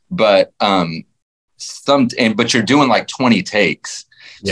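In a Texan accent, a man talks at a fairly slow pace, the sound dry and close with no echo. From Texas, Fort Worth. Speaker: country musician. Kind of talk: casual interview. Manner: rambling.

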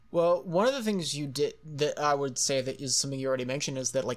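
On a very clean recording with a silent background, a man with a fairly high pitch and lively intonation speaks in an ordinary speaking voice. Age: 20s. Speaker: podcast host. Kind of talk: casual chat.

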